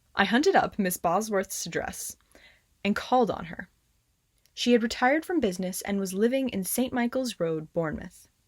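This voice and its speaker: A somewhat breathy woman's voice, fairly high-pitched, with lively intonation. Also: moderate pace. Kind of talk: ghost story reading.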